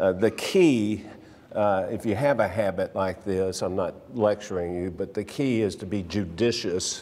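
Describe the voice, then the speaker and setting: A man with a plain, everyday voice talks at a fairly slow pace, his intonation fairly even. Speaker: Sunday school teacher. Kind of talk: lecture. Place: church.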